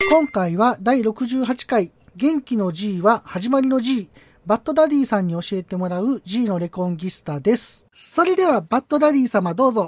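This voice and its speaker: A woman's somewhat breathy, fairly high voice with very wide pitch swings at a moderate pace, in a dry, close recording with no echo. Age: middle-aged. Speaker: podcast host. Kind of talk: casual chat.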